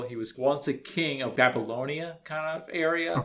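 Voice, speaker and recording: Noticeable background noise sits behind a man speaking at a moderate pace. His pitch is fairly high, with ordinary variation. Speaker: podcaster. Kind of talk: casual, explaining anime lore.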